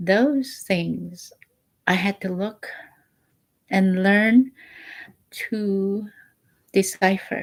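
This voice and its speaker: A woman with a medium pitch and a somewhat breathy voice speaks at a very slow pace. Her intonation is fairly even, broken by long, frequent pauses. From Alaska, Bristol Bay village. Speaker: vlogger sharing spiritual reflections. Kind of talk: personal reflective monologue.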